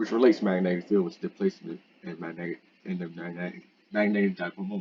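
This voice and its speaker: Over music in the background, a man with a fairly low pitch talks very fast with ordinary pitch variation. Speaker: student. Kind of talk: lab presentation. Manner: halting.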